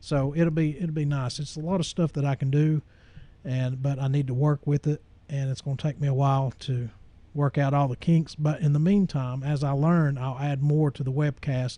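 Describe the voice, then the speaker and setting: A man's dark, mellow, somewhat breathy voice with fairly even intonation against a quiet background. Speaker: church webcaster and Bible study teacher. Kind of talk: casual monologue to camera. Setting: home studio with camera and soundboard. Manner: slow with many pauses and fillers; halting.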